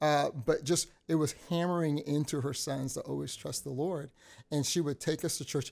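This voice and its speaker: Here is an ordinary speaking voice from a man with an American accent. He keeps a moderate pace and fairly even intonation. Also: fairly high pitch for a man. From Texas. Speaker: youth pastor. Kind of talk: testimony.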